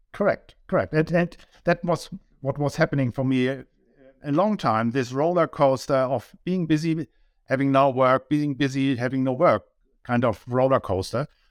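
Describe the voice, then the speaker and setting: Speaking with a German accent at a moderate pace, a man uses a fairly high pitch and ordinary pitch variation, the sound dry and close with no echo. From Germany. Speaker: business owner, data consultant. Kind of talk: interview. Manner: halting.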